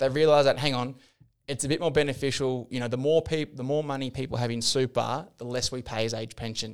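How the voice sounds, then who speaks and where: Speaking at a very fast pace, a man with an Australian accent keeps a medium pitch and fairly even intonation. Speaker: financial planner. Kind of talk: casual chat.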